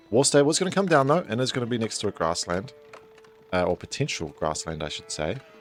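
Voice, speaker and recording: The speech comes at a very fast pace with very wide pitch swings. Music plays in the background. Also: man, medium pitch for a man. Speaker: esports caster. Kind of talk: live game commentary.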